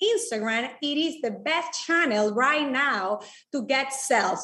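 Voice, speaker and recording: With a high pitch and very wide pitch swings, a woman talks at a fairly slow pace. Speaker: digital marketing speaker. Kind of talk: presentation.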